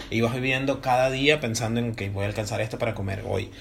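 This man has a normal speaking voice, medium in pitch with ordinary variation. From Venezuela. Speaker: comedian and podcast co-host. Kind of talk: casual chat.

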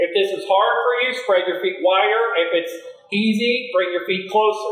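Against noticeable background noise, someone talks at a moderate speed. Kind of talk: guided yoga class instruction, cueing poses and breath. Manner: calm, steady, imperative cueing; paced to breath with counted beats.

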